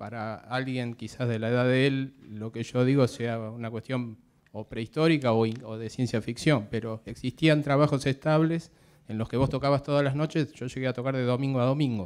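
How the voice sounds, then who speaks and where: A man with a plain, everyday voice talks at a moderate pace, medium in pitch, with fairly even intonation. The recording is very clean, with a silent background. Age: 50s. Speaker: drummer, audience member. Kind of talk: audience question.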